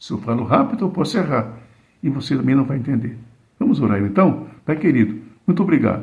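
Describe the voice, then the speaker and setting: With audible room echo, a man with a somewhat breathy, dark, mellow tone speaks at a fairly high pitch with lively intonation. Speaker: preacher. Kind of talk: sermon. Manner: slow, deliberate.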